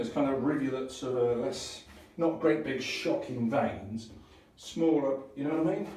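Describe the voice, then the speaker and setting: Noticeable background noise and audible room echo surround a man's voice. He speaks at a moderate pace with a fairly high pitch. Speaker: DIY renovator. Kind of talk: DIY tutorial video. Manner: casual, hesitant with fillers.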